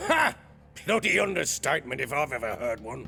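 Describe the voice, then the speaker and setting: Putting on a character voice, a man sounds gruff and raspy at a medium pitch, moving at a fairly quick pace with lively intonation over clear background noise. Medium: video game. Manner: gruff, crude.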